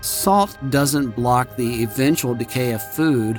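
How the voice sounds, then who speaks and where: Over music in the background, a man at medium pitch talks at a fairly slow pace with ordinary pitch variation. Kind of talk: devotional audiobook reading.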